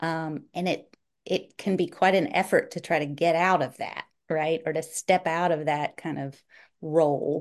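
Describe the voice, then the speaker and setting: In a Southern US accent, a woman speaks at a fairly low pitch and a fairly slow pace, with fairly even intonation against a quiet background. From North Carolina, US South. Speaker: author and writing professor. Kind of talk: casual interview chat.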